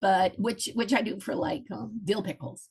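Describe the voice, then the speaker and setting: The woman's voice sits at a fairly high pitch and carries vocal fry. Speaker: historical reenactment food presenter. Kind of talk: presentation. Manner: casual with many fillers.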